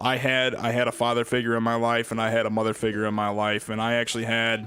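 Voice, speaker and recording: Over noticeable background noise, a man with an American accent talks at a very fast pace, his pitch medium and his loudness very even. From US Midwest, Illinois. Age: 20s. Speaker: gaming streamer. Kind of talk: casual chat. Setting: live stream. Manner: animated.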